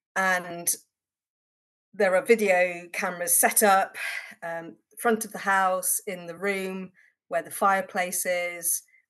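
A woman at a medium pitch, very slow, with long, frequent pauses, fairly even intonation and big swings in loudness. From Worcestershire, England. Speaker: broadcaster and journalist. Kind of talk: casual chat.

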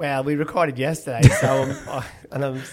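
The pace is moderate. There is little pitch movement. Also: man, medium pitch for a man.

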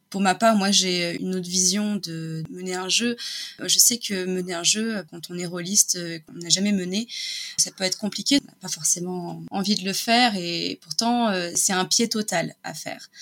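A woman's voice at a fairly slow pace, fairly even in intonation but with big swings in loudness, against noticeable background noise. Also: medium pitch for a woman. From France, Nice hinterland. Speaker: illustrator. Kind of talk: casual interview.

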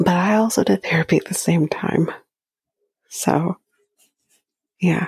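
A woman speaks with fairly even intonation at a fairly low pitch, leaving long, frequent pauses. The sound is dry and close, with no echo. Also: fairly slow pace. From Canada. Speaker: podcast host. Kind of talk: casual recap commentary.

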